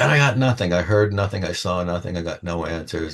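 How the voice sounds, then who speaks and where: Somewhat breathy speech comes at a moderate pace over a quiet background. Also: man. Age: 70s. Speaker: tarot reader. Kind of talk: personal monologue to camera. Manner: casual, unscripted.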